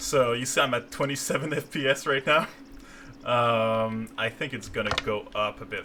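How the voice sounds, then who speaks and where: The speaker has a French Canadian accent. Noticeable background noise is present. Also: man. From Quebec, Canada. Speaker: game designer. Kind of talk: live stream gameplay commentary. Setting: live stream. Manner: halting, many fillers.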